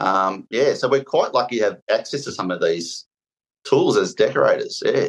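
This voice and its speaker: A man with an Australian accent at a moderate pace. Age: 40s. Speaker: painter and decorator. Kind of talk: casual chat. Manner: halting.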